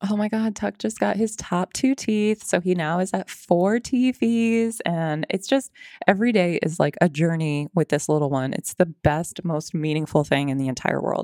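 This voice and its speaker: Speaking at a moderate pace with hardly any pauses, a woman swings very widely in pitch, recorded dry and close with no echo in a very clean recording with a silent background. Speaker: fitness trainer. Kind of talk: casual interview chat.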